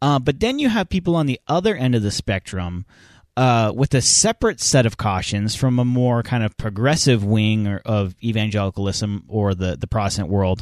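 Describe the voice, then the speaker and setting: In a plain, everyday voice, a man speaks at a moderate pace with a medium pitch and ordinary pitch variation, in a dry, close sound with no echo and a quiet background. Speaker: podcast host. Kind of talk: casual podcast chat. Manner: casual, conversational.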